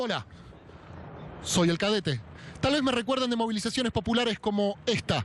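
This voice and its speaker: Speaking at a fairly quick pace, a man uses a high pitch with ordinary pitch variation. His loudness is very even, and he leaves long, frequent pauses. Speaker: comedic street reporter. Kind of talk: humorous street interviews. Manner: casual, joking.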